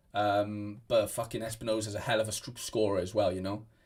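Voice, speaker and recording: Here a man talks at a fairly quick pace. His voice is fairly low in pitch and somewhat breathy. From Wales. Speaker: fantasy football streamer. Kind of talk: live stream chat. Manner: casual, rambling. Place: home room.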